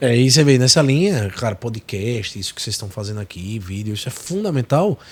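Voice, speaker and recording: Lively intonation and big swings in loudness mark this man's medium-pitched voice. He sounds somewhat breathy and moves at a fairly quick pace. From Sergipe, Brazilian Northeast. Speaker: tech company executive. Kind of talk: podcast interview. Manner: animated.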